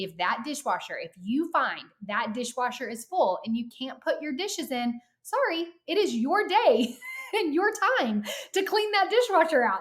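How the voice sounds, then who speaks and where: Speaking with an American accent, a woman uses a high pitch and very wide pitch swings at a moderate pace. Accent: Southern US, comes out now and then. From Arkansas. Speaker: author. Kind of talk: podcast interview.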